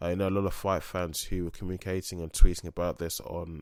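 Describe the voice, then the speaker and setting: A man speaks with a very deep, low pitch. His pace is very fast. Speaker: MMA podcast host. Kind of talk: solo podcast commentary. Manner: halting, many fillers.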